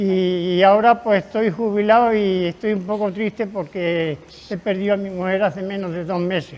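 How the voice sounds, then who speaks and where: A man speaks at a moderate pace with a high pitch and fairly even intonation. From Spain, Extremadura (north Cáceres). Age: 80s. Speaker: retired craftsman. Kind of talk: interview reminiscence.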